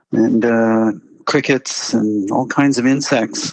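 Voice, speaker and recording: A man's medium-pitched voice at a very slow pace, with a dry, close sound and no echo. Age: 60s. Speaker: engineering professor on a long-distance bike trip. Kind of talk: radio interview. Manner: hesitant, many fillers and repetitions.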